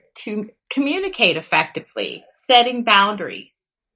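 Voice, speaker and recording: With a slight Texas accent, a woman talks at a moderate pace in a fairly high pitch, her bright, sharp tone carrying very wide pitch swings. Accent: slight Texas twang. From West Texas. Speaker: licensed clinical therapist, podcast co-host. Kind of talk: podcast conversation.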